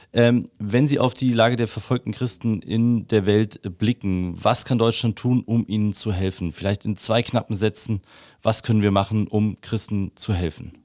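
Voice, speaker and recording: In an unremarkable speaking voice, a man talks at a medium pitch and moderate pace with ordinary pitch variation. The recording is very clean with a silent background and a dry, close sound with no echo. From Upper Bavaria. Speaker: podcast host. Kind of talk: interview.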